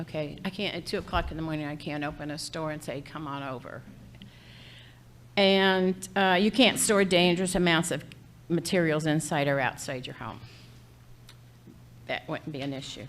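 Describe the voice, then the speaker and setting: A woman with a very deep, low voice speaks at a moderate pace, with big swings in loudness and long, frequent pauses. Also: ordinary pitch variation. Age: 70s. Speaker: homeowner speaking at board meeting. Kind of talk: public comment at meeting. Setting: community board meeting.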